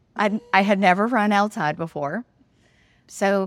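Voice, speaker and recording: A woman with a Southern US accent, fairly slow in pace and lively in intonation. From Mississippi. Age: 50s. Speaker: runner and teacher. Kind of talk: interview.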